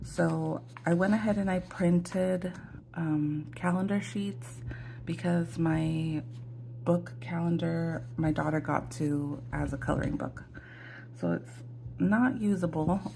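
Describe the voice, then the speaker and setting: A woman speaks at a very slow pace with long, frequent pauses. Audible room echo is present. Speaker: budgeting vlogger. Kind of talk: casual tutorial. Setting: home, morning, ring light. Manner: hesitant, many fillers.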